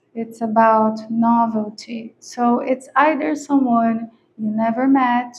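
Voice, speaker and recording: A woman with a non-native accent talks at a very slow pace. Her high voice keeps a fairly even intonation. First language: not English. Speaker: tarot reader. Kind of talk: tarot reading. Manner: casual, conversational with hesitations.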